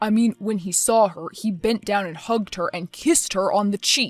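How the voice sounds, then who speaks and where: A growling, put-on character voice moves at a moderate pace. The sound is dry and close, with no echo. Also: woman, medium pitch for a woman. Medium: cartoon. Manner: hesitant, filler-heavy.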